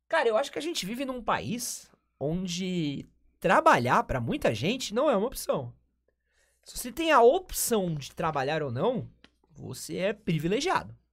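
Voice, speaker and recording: A man talks at a fairly slow pace in a high pitch with very wide pitch swings and an animated tone. The recording is very clean, with a silent background. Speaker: podcast host. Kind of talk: casual chat. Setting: live-streamed studio.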